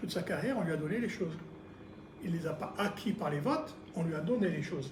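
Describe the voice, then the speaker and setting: A man talks at a very fast pace in a high pitch with ordinary pitch variation. Audible room echo and noticeable background noise surround his voice. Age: 60s. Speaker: local election candidate. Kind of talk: political interview. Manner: hesitant, many fillers.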